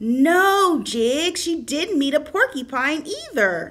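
A woman's high, cartoonish character voice at a very slow pace. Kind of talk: children's puppet show storytelling.

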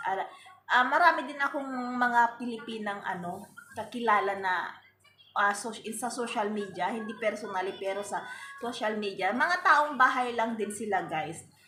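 A woman with a fairly high pitch and lively intonation at a moderate pace, amid audible room echo and noticeable background noise. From Philippines. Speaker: vlogger. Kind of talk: casual vlog talk to camera.

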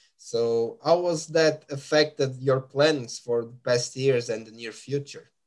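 A man with a Portuguese accent speaks at a very slow pace with hardly any pauses. His pitch is medium and his intonation fairly even. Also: quiet background. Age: 30s. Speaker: music podcast host. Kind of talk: interview. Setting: live stream. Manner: halting. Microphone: webcam.

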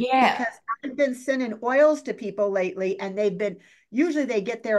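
A woman's voice against a quiet background. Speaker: guest. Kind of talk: interview answer. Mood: concerned, emphatic. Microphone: video call.

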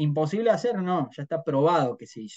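Against a quiet background, a man speaks in a fairly high pitch with a dark, mellow tone. His pitch swings very widely. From Argentina, Río Cuarto, Córdoba; Córdoba, Argentina. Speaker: trader, head of trading desk; interview guest. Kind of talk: interview conversation. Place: home room. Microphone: video call.

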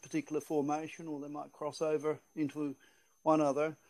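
A man speaks rather quickly, and the background stays quiet. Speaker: presenter. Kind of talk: lecture. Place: hall.

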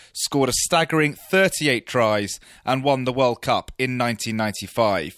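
With an unremarkable speaking voice, a man talks at a moderate pace with ordinary pitch variation, in a very clean, dry, close recording with a silent background and no echo. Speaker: radio sports presenter. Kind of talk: radio sports podcast narration.

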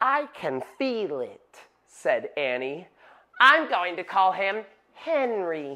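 This is plain reading aloud. The text is simply read.

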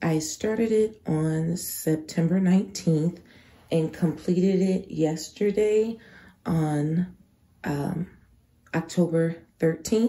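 The voice has a dark, mellow tone and is somewhat breathy, moving at a very slow pace with fairly even intonation. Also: woman. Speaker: crafting YouTuber. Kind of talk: product review vlog. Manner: casual, chatty.

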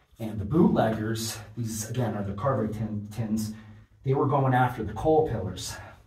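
There's audible room echo on this recording. A man talks through it at a moderate pace. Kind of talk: casual vlog commentary. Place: tunnel cave.

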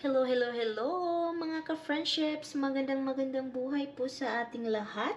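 In a room with audible echo and noticeable background noise, a woman speaks at a high pitch, with ordinary pitch variation and a moderate pace. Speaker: vlogger. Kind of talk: vlog narration.

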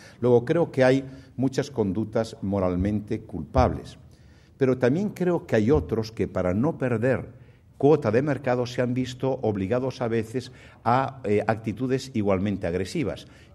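At a fairly slow pace, a man speaks in a dark, mellow tone with ordinary pitch variation. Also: medium pitch for a man. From Spain, Galicia. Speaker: banking association president; guest. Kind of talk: keynote speech; formal speech and Q&A answers. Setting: stage with audience. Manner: halting. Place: hall. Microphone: podium.

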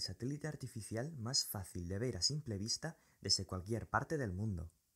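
On a very clean recording with a silent background, a man with a somewhat breathy voice speaks at a moderate pace with lively intonation. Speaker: science video creator. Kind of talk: scripted narration.

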